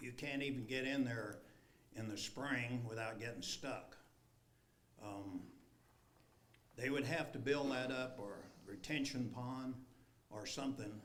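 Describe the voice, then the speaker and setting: Pausing long and often, a man speaks with fairly even intonation amid audible room echo. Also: medium pitch for a man, fairly slow pace. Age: 80s+. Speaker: resident speaking at public hearing. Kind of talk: public comment at council meeting. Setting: city council meeting.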